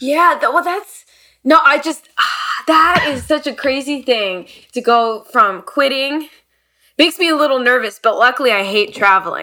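Her voice is raised and projected, bright and sharp, with a high pitch. The woman talks at a moderate pace with lively intonation. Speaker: podcast co-host and flutist. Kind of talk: casual interview conversation.

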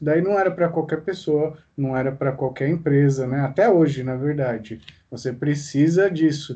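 A man's dark, mellow tone moves with ordinary pitch variation. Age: young. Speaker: podcast host. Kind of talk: casual interview.

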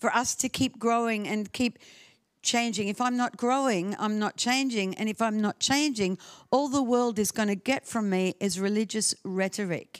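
A woman with an Australian accent speaks at a moderate pace, her fairly high pitch varying in an ordinary way and her loudness very even. The recording is very clean with a silent background and a dry, close sound without echo. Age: 70s. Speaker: guest preacher. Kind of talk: sermon. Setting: church with audience.

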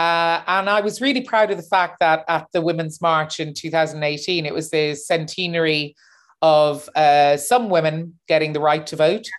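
In a very clean recording with a silent background, a woman with a Cork accent talks at a fairly low pitch. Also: ordinary pitch variation, moderate pace. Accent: Cork Irish. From Ireland, Cork. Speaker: opera singer and activist. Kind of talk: interview.

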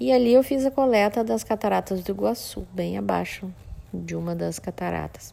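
A woman talks at a fairly slow pace. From Brazil, Mato Grosso do Sul (Campo Grande). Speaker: floral therapist, essence maker. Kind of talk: monologue, personal story. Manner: halting, many repetitions.

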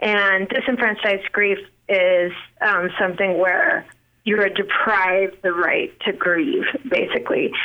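A woman speaks at a fairly slow pace in an unremarkable speaking voice, her loudness very even. Her pitch is medium, with ordinary variation. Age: 40s. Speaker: singer, songwriter and author. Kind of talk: casual chat.

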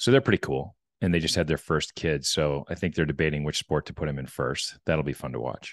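A man's very deep, low pitch with vocal fry and ordinary pitch variation, delivered at a fairly quick pace in a dry, close sound with no echo and a quiet background. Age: 50s. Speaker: business executive and podcast host. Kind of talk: casual interview conversation.

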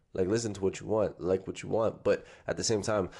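Heard over a quiet background, the speaker uses a Toronto accent, a dark, mellow tone, fairly even intonation and a fairly quick pace. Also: man. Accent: Toronto (Scarborough) urban Canadian English. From Toronto, Scarborough. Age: 20s. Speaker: rapper and spoken word artist. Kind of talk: casual chat.

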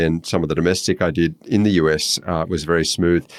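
A very fast man's voice with a very deep, low pitch and an Australian accent. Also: very clean recording, silent background. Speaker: social researcher. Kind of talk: casual chat.

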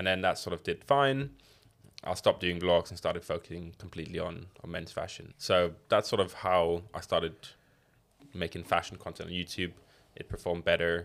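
On a very clean recording with a silent background, a man with a very deep, low voice speaks at a moderate pace with fairly even intonation. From Surrey, England. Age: 20s. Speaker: YouTuber and brand owner. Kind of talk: casual chat.

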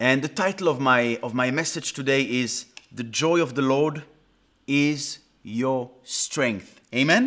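Very cleanly recorded over a silent background, a man with a Swiss French accent speaks at a fairly slow pace in a fairly high pitch with lively intonation. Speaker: pastor. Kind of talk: sermon.

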